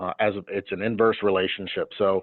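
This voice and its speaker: A man talks at a moderate pace in a fairly low pitch. His intonation stays fairly even. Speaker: insurance annuity specialist. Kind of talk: webinar presentation.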